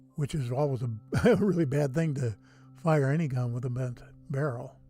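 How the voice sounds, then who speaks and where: Fairly quick, fairly high speech from a man with ordinary pitch variation, music playing behind him. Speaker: YouTuber hosting a livestream about Mars images. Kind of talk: casual livestream chat. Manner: low-key, relaxed.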